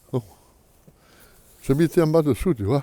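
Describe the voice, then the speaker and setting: A man talks in a southern French accent. His tone is dark and mellow. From Menton, southern France. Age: 80s+. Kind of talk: interview answer. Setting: outdoors. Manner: casual, colourful.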